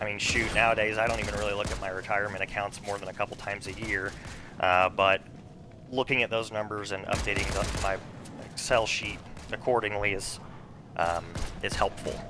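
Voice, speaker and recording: Over noticeable background noise, a man with a fairly low pitch talks at a fairly quick pace. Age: 30s. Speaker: gaming streamer. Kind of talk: casual live stream chat while gaming. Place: home room.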